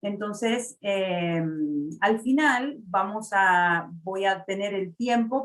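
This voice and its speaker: In an Argentine accent, a woman speaks at a medium pitch with ordinary pitch variation. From Argentina, Buenos Aires. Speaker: mortgage loan officer. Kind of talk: webinar presentation. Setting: online webinar. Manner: frequent filler sounds.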